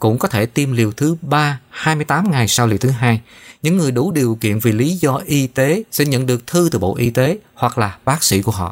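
In a very clean recording with a silent background, a man with a normal speaking voice talks at a moderate pace and medium pitch, his intonation lively. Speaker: news anchor. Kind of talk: news reading.

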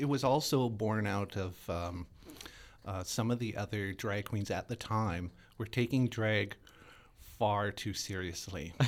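A man with a Canadian accent speaks at a fairly slow pace in a fairly low pitch and ordinary pitch variation, an unremarkable speaking voice on a very clean recording with a silent background. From Winnipeg, Manitoba, Canada. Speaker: drag performer. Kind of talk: interview.

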